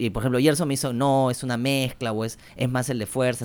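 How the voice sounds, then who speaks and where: With a plain, everyday voice, a man of medium pitch talks at a moderate pace. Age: 30s. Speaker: podcast co-host. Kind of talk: casual interview.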